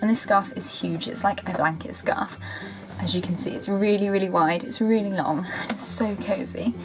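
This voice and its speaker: A woman with a London accent speaks at a moderate pace over noticeable background noise. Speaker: beauty YouTuber. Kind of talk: casual talk to camera.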